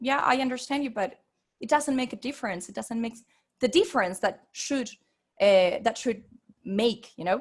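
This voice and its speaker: A woman with a Spanish accent speaks in a fairly high pitch with lively intonation and long, frequent pauses, on a very clean recording with a silent background. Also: moderate pace. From Venezuela. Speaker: interpreter and researcher. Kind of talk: academic presentation. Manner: halting, many fillers and repetitions.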